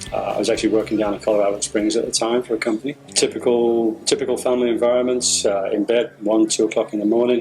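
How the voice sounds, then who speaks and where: Very fast, monotone, flat delivery with hardly any pauses and very even loudness, over music in the background. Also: man, medium pitch for a man. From Britain. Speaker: student reviewer, engineer. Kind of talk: testimony. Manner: halting.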